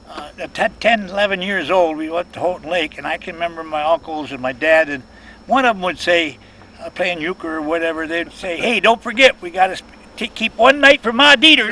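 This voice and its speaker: A man with an Upper Midwest accent speaks at a fairly quick pace and a high pitch, his intonation lively. His loudness swings widely, and the background noise is noticeable. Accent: Upper Midwest American (Michigan). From Michigan (Saginaw). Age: 80s+. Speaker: building contractor. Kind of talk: casual chat. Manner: halting, many fillers.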